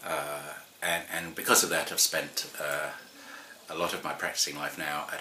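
Light background noise sits under the recording. The voice belongs to a man. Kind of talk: personal introduction talk. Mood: calm, earnest. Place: home room. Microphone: camera far.

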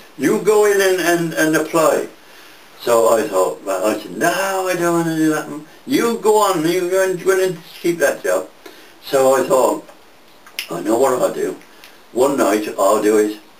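A man at a fairly slow pace with long, frequent pauses and audible room echo. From England. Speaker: war veteran. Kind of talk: interview answer. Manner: rambling, conversational. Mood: lively, amused storytelling. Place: home room. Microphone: camera far.

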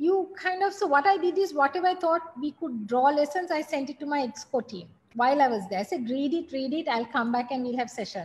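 A woman speaks at a fairly quick pace with hardly any pauses. Her voice is high, with lively intonation. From Sri Lanka. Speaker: business executive; guest. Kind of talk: guest talk to MBA class. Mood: reflective, candid.

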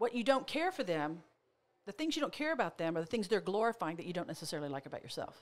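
A woman with an American accent, fairly high in pitch, with very wide pitch swings. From Oklahoma. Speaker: motivational speaker and therapist; motivational speaker. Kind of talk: casual chat. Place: studio. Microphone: studio mic.

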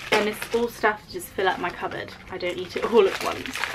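There is noticeable background noise. A woman speaks at a moderate pace. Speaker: vlogger. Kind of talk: casual vlog chat. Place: home room. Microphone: phone near.

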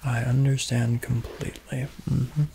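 A soft-spoken man talks at a fairly slow pace. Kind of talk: soft role-play talk, guided relaxation. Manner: soft-spoken, hushed ASMR voice. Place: home room.

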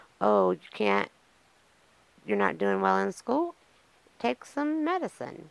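A woman speaks with a Southern US accent. The sound is dry with no echo. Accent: Southern American. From US South, eastern North Carolina. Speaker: podcaster in addiction recovery. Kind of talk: personal testimony monologue. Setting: on camera, solo video podcast. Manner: casual, with many fillers. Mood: reflective, candid. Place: home room. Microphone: studio mic.

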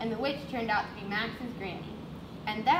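Fairly even intonation runs through the plain reading aloud here.

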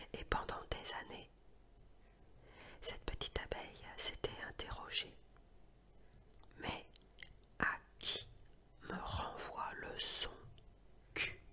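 A woman whispers in a calm tone at a very slow pace. Her speech has long, frequent pauses. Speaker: sophrology and hypnosis practitioner who reads ASMR tales. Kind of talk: storytelling narration with playful asides to the listener. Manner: whispered, soft, calm, relaxing.

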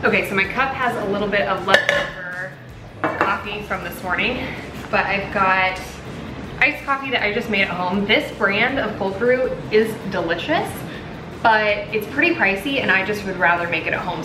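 Noticeable background noise runs behind a woman talking at a moderate pace. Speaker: lifestyle vlogger. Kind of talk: casual vlog chat. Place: kitchen. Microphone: phone near.

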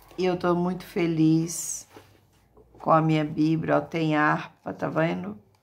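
A woman's very deep, low pitch at a very slow pace. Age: 60s. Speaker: evangelical YouTuber. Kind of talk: casual vlog with religious exhortation. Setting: at home. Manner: animated. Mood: joyful, grateful. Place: home room. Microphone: phone near.

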